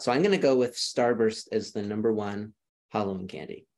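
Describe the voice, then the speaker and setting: Speaking with a Minnesotan accent, a man uses a medium pitch with ordinary pitch variation. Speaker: education program director. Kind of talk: casual podcast interview.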